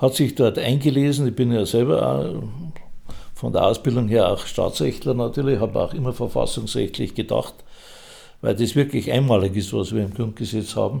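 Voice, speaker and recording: Medium pitch from a man with vocal fry, a dark, mellow tone, ordinary pitch variation and a moderate pace. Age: 80s+. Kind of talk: interview.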